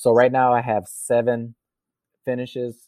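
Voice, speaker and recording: Speaking with an American accent, a man holds a medium pitch. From US Midwest, Racine, Wisconsin. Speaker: triathlete. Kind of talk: interview.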